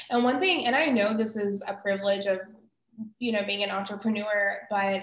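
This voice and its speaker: Here a woman has an ordinary speaking voice at medium pitch. She keeps a moderate pace and fairly even intonation. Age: 30s. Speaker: career wellness coach. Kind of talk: interview.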